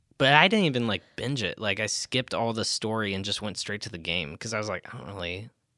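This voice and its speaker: In a normal speaking voice, a man with an American accent talks at a fairly low pitch with ordinary pitch variation, the sound dry and close with no echo on a very clean recording with a silent background. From US Midwest, Iowa. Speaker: church ministry resident, student ministry. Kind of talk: casual interview.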